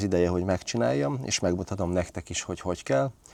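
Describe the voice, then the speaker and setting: A man talking at a very fast pace. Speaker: DIY car repair vlogger. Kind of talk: tutorial. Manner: casual, with filler sounds.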